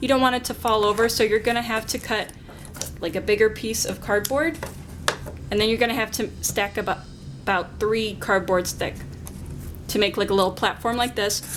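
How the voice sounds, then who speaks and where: Through noticeable background noise, a woman talks at a fairly quick pace with fairly even intonation and long, frequent pauses. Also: fairly high pitch for a woman. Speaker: art teacher. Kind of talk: tutorial. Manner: fast.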